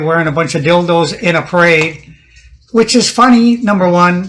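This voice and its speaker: Music plays in the background. The speech moves at a fairly quick pace with ordinary pitch variation. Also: man. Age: 60s. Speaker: interview guest. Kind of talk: casual interview. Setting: at the guest's house. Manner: halting, many restarts.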